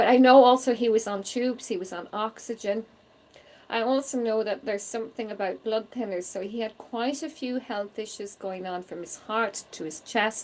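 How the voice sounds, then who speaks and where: A woman's fairly high voice in a Donegal Irish accent, with ordinary pitch variation, a moderate pace and big swings in loudness. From Ireland. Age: 40s. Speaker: psychic medium. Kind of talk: live spirit reading stream. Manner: warm, conversational.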